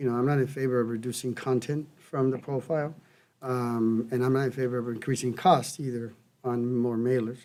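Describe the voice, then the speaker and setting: In a Spanish accent, the speaker delivers lines at a fairly quick pace with a dark, mellow tone and monotone, flat intonation. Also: man, medium pitch for a man. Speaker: city council member. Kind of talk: council meeting discussion. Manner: halting.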